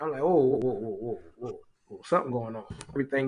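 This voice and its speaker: A man is talking. His speech carries a Southern US accent. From South Carolina, Orangeburg. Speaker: college football administrator. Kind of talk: casual interview.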